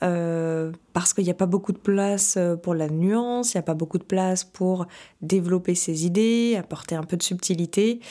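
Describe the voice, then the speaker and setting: A woman's dark, mellow voice at medium pitch, moderate in pace with fairly even intonation. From Paris region, France. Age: 30s. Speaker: podcast host and life coach. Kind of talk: casual solo podcast talk. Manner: hesitant, many fillers.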